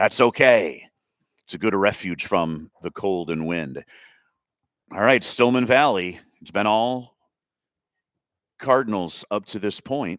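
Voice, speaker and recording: A man's fairly low voice with lively intonation, big swings in loudness, a fairly slow pace, long and frequent pauses, and a dry, close sound with no echo. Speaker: play-by-play sports commentator. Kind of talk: live commentary. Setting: press box at a school soccer game.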